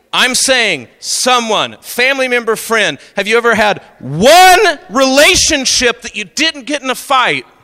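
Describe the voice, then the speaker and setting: In a raised, projected voice with an American accent, a man speaks at an extremely high pitch with lively intonation, a fairly slow pace and hardly any pauses. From Oklahoma. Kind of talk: talk to a youth audience. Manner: animated.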